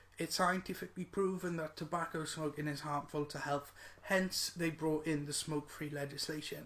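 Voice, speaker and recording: Bright and sharp in tone, a man's high voice moves with fairly even intonation. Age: 20s. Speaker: vaping advocate. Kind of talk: video message to a politician. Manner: halting, with fillers.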